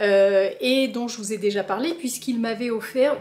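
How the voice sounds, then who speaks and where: Speaking fairly slowly, a woman uses ordinary pitch variation. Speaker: plant vlogger. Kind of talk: casual vlog. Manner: animated.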